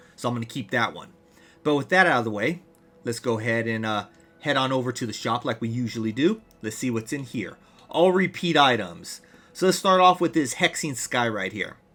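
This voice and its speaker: Against music in the background, a man talks at a fairly quick pace with lively intonation. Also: medium pitch for a man. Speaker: gaming youtuber. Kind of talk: gameplay update commentary.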